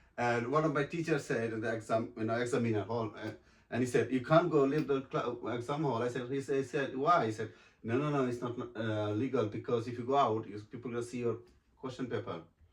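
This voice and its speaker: A man with a Bengali accent at medium pitch, fairly even intonation and a very fast pace. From Bangladesh. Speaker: actor and model. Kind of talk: interview. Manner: halting.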